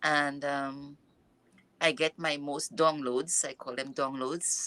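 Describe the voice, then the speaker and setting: With a non-native accent, a woman speaks at a very slow pace and a very deep, low pitch. Her tone is bright and sharp, and her intonation fairly even. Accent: noticeable non-native. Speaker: mindfulness and yoga coach. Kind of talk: interview. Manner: halting.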